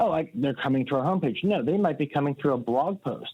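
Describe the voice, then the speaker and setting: Here a man speaks with an American accent. His very fast delivery has lively intonation. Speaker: website marketing consultant. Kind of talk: podcast interview.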